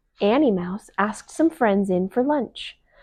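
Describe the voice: The intonation is lively. It is plain reading aloud.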